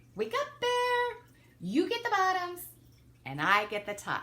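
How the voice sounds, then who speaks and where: Someone uses a squeaky, put-on character voice at a fairly slow pace. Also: woman, extremely high pitch for a woman. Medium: read story. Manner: persuasive, sly.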